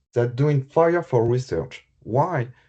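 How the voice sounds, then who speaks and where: A man with a French accent speaks very slowly at a medium pitch, his dark, mellow tone somewhat breathy and his intonation lively. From France. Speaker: health IT specialist. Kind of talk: conference presentation. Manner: halting.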